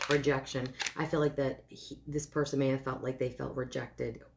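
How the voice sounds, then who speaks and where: A woman is speaking. Her pitch is very deep and low. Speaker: tarot card reader. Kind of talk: tarot love reading. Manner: hesitant, with filler words; fast.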